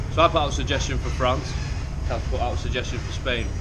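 A man talks at a very fast pace. Noticeable background noise can be heard. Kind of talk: casual vlog chat. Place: train. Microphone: phone near.

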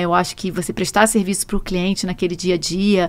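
A woman talks at a very fast pace with a Rio de Janeiro accent. The sound is dry, with no echo. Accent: Rio de Janeiro (carioca) accent, noticeable. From Brazil, Rio de Janeiro. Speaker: truck rental executive; guest. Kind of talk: podcast interview. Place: studio. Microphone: studio mic.

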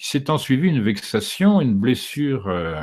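A man speaks at a fairly slow pace with very wide pitch swings over a quiet background. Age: 60s. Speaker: documentary filmmaker and author; interviewee. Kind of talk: interview. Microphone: studio mic.

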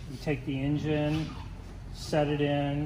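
A man speaks against noticeable background noise. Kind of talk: interview answer. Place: workshop. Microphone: phone near.

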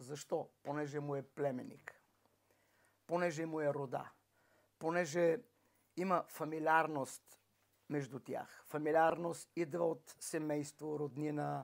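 A man speaks at a very slow pace with long, frequent pauses and fairly even intonation over a quiet background. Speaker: preacher. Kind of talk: sermon. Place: home room.

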